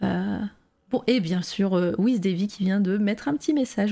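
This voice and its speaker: Her voice has a dark, mellow tone at a medium pitch, as this woman speaks at a fairly slow pace with ordinary pitch variation. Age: 30s. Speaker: live-stream interview host. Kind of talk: casual live-stream interview. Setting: online call over Discord with lag. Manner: hesitant, many fillers.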